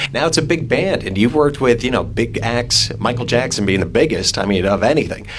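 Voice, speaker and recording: A man's medium-pitched voice at a fairly quick pace, lively in intonation, with hardly any pauses and noticeable background noise. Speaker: radio host. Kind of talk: radio interview. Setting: radio studio.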